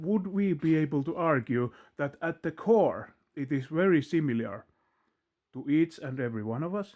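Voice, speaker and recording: A man speaks at a moderate pace with a fairly high pitch, lively intonation and a Finnish accent. The recording is very clean, with a silent background. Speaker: video blogger. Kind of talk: philosophical monologue. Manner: halting.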